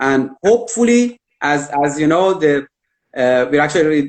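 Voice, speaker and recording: The man's voice is fairly high, with pitch moving in a typical way. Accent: Persian. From Iran. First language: Persian. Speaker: immigration consultant. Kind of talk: interview on live video stream. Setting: live virtual event. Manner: hesitant, many fillers.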